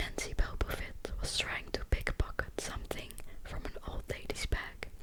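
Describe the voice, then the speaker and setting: The speech is whispered and fairly slow. Background noise is noticeable throughout. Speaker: ASMR creator. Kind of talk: audiobook reading.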